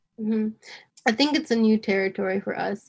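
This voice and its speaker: A woman with a normal speaking voice in an American accent, fairly high in pitch with ordinary pitch variation. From New York, US. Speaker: nonprofit creative director. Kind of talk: casual conversation.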